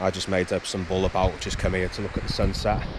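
A man speaks at a fairly low pitch in a dry sound with no echo. Background noise is noticeable. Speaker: outdoor camping vlogger. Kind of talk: casual vlog chat. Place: open country. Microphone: phone near.

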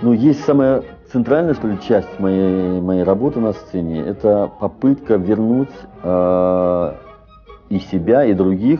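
Faint music plays in the background while a man speaks. His pitch is fairly low and his pace very slow. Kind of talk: interview answer. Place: home room. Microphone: lapel.

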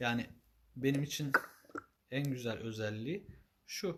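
A man talks at a fairly slow pace. His voice has a somewhat breathy quality. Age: 30s. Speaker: ney teacher and maker. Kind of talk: live stream announcement. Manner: formal.

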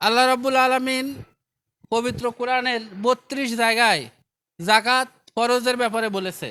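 A man with an extremely high pitch and a bright, sharp tone projects a raised voice in monotone, flat intonation, on a very clean recording with a silent background. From Bangladesh, Bagerhat. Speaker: charity foundation representative. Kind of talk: public address at relief event.

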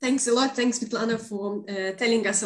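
A woman speaks with fairly even intonation. There is audible room echo, but the background is quiet. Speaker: event host. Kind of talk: live online event hosting. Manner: halting. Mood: warm, friendly. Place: home room. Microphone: video call.

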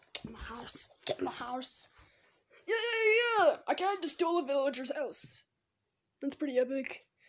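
Delivered at a moderate pace with long, frequent pauses, the cartoonish character voice sits high in pitch. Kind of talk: gameplay commentary. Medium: puppet. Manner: excited, upbeat.

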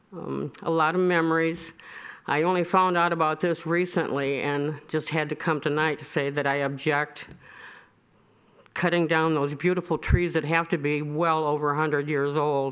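Speaking at a moderate pace with an American accent, a woman has a very deep, low voice. Her intonation is flat and monotone. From Michigan, Royal Oak. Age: 70s. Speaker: resident speaking at public comment. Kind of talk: public comment at city meeting.

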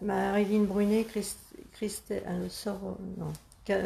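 A woman speaks at a very slow pace. Her tone is dark and mellow. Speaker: grandmother reading live comments. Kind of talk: reading out viewer comments. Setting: Facebook live video, behind the camera. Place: workshop. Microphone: camera far.

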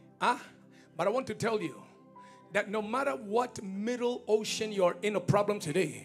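Faint music plays behind a man who speaks at a fairly slow pace. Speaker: preacher. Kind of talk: sermon. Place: church. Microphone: handheld.

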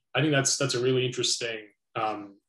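A man with a Canadian accent speaks in a flat monotone. Audible echo fills the room, though the background is quiet. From Canada. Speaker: philosophy interviewer, educator. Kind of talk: interview. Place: home room.

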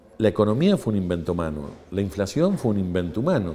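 A man's dark, mellow voice at a fairly low pitch with an Argentine accent, over light background noise. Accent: Argentine Spanish (Rioplatense). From Argentina. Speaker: engineer and university lecturer; university lecturer. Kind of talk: interview; interview answer. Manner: explanatory, frequent fillers. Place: hall.

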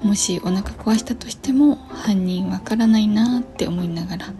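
Over faint background music, a woman talks at a fairly slow pace. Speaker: vlogger. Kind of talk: casual vlog chat. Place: home room. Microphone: phone near.

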